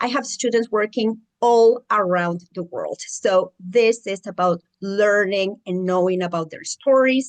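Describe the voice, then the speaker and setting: The speaker has a strong Mexican accent and talks at a fairly slow pace with ordinary pitch variation. The sound is dry and close, with no echo. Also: woman. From Mexico. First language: Spanish. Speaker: educator and mentor for international students. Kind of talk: channel introduction monologue.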